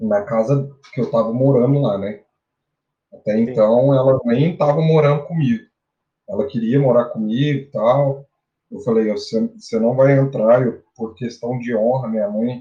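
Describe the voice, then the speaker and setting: A man talks at medium pitch and a moderate pace. His voice is somewhat breathy, with fairly even intonation. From Brazil, Minas Gerais interior (Araxá). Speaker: bitcoin analyst and physical educator. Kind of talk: casual interview chat.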